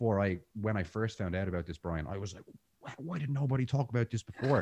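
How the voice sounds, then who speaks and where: Over a dry, close sound with no echo, a man speaks very fast with an Irish accent at a fairly low pitch. His intonation is lively, his voice somewhat breathy, and his loudness swings widely. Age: 30s. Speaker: jiu-jitsu instructor and breathwork teacher. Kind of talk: casual interview conversation.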